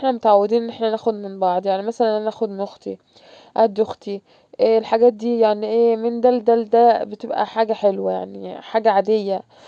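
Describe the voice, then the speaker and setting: Fairly quick speech in a monotone, flat intonation. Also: woman, fairly high pitch for a woman. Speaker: vlogger, mother. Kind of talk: casual home vlog. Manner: halting, with false starts.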